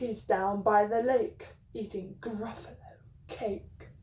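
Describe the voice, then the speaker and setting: Putting on a growling character voice, a woman speaks at a very slow pace with a medium pitch. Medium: read story.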